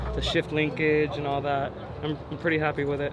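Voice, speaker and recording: A man's voice against noticeable background noise. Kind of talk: interview answer. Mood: proud, relaxed. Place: street.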